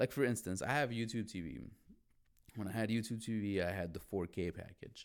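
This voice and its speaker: Spoken at a moderate pace with a Chicago accent, the voice sounds animated, its intonation lively. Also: man. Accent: Chicago American English. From Chicago, US (Mexican heritage). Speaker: podcast host. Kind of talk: casual solo monologue.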